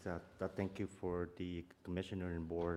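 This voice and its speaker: A man's very deep, low voice with a dark, mellow tone and a Vietnamese accent, at a fairly quick pace. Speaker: property owner, engineer. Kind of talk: public testimony. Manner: fast; halting.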